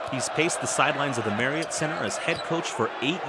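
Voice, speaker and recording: Noticeable noise sits in the background while a man talks fairly quickly. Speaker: sports reporter. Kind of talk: TV news sports report.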